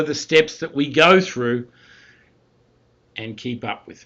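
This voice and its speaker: A man with an Australian accent at a fairly slow pace, his intonation fairly even. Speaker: university statistics instructor. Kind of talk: recorded lecture. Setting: recorded talking over slides.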